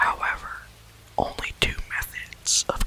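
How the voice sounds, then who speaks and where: Whispering at a fairly slow pace in a calm tone, a man comes through over noticeable background noise. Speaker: ASMR reader. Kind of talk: ASMR story reading. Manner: soft-spoken, calm.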